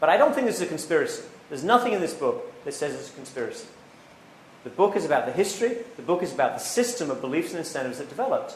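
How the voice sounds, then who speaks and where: A man talks at a very fast pace with big swings in loudness, with noticeable background noise and audible room echo around him. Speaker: economics professor. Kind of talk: public lecture. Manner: repetitive false starts.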